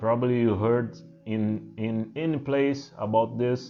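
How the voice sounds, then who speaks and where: A man of medium pitch speaks with a strong Portuguese accent and fairly even intonation. Music plays in the background amid audible room echo. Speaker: spiritual teacher. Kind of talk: talk to camera. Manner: halting, many fillers.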